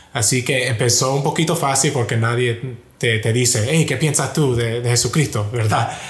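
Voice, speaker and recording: Moderate in pace, a man speaks at a medium pitch in an ordinary speaking voice. His intonation is fairly even. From US, Miami. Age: 20s. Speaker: software engineer at a big tech company. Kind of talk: testimony.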